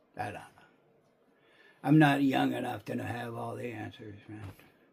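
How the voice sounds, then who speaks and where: Over noticeable background noise, a man talks at a moderate pace, with big swings in loudness and long, frequent pauses. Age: 60s. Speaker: video commentator. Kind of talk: casual monologue. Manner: rambling with many fillers and repeated words.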